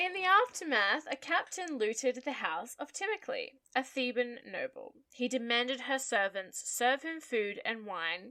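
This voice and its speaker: A woman with an American accent uses a raised, projected voice at a high pitch with a bright, sharp tone. She speaks at a fairly slow pace with very wide pitch swings. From Australia. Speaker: podcast co-host. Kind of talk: casual chat with story telling.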